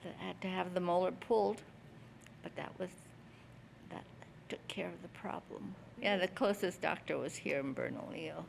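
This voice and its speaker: A woman speaks in a New Mexico accent. She leaves long, frequent pauses. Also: moderate pace. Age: 80s+. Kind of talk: interview answer.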